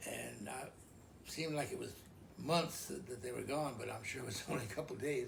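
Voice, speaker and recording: A man speaks at a fairly quick pace with audible room echo. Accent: American. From Idaho, US. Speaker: elderly father telling life story. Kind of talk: oral history interview. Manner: halting, many fillers and repeats.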